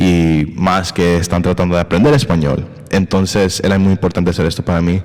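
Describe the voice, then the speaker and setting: The loudness stays very even throughout. Intonation is fairly level, with noticeable background noise behind it. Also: man, very deep, low pitch for a man. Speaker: podcast host. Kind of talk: casual conversation. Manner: halting, hesitant with English fillers.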